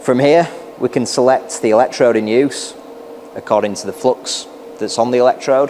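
Light background noise sits behind a man's voice. He talks at a moderate pace with fairly even intonation. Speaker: welding product demonstrator. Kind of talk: tutorial. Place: workshop. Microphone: lapel.

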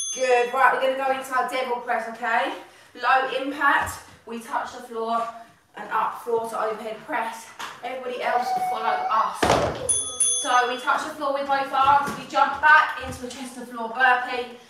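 Delivered at a moderate pace with fairly even intonation, the speech carries audible room echo and noticeable background noise. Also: woman, high pitch for a woman. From UK. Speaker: fitness instructor. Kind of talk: live workout coaching, calling exercises and countdowns while training along. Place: home room.

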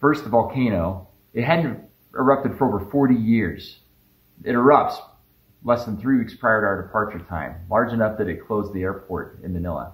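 The speaker is somewhat breathy, with a moderate pace, ordinary pitch variation and audible room echo. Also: man. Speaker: family travel narrator. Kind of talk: vlog narration. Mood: calm, explanatory. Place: home room.

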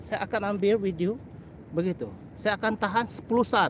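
A man is speaking. The sound is dry with no echo, with light background noise. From Sabah, Malaysia (Kota Kinabalu); Sabah, Malaysia. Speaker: birding vlogger; bird photography vlogger. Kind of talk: live stream commentary. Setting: outdoors by a canal. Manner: code-switching, hesitant with fillers. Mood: warm, friendly. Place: waterside. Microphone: phone near.

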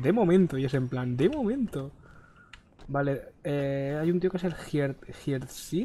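Very slow and somewhat breathy, a man speaks in a fairly high pitch. His tone is dark and mellow, with ordinary pitch variation. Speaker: gaming youtuber. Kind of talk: casual gameplay chat.

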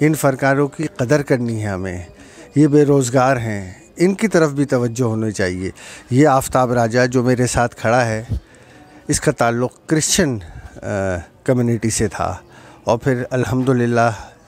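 With ordinary pitch variation, the delivery unfolds at a fairly slow pace. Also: man, dry sound with no echo. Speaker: local channel reporter. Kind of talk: street report to camera, appeal. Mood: earnest, pleading. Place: street. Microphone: handheld.

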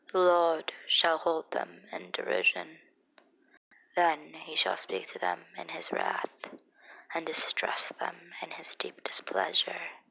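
Whispering, a woman speaks. Her pace is very slow. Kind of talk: Bible reading. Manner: expressive, not monotone.

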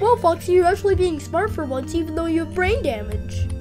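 Against loud music in the background, someone uses a put-on character voice at a fairly quick pace. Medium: machinima. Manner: sarcastic, jumpy.

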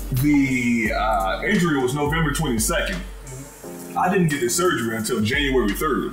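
Clear music sits in the background. Over it, a man talks at a moderate pace. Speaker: podcast member telling a story. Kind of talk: casual storytelling among friends. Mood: amused, animated. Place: home room. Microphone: camera far.

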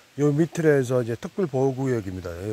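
With a dark, mellow tone and lively intonation, a man talks at a moderate pace in a dry sound with no echo and light background noise. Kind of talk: casual walking commentary. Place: forest. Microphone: phone near.

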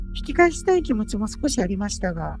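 A woman's voice with very wide pitch swings, music in the background. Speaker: virtual youtuber. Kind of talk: ghost story narration. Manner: polite, formal.

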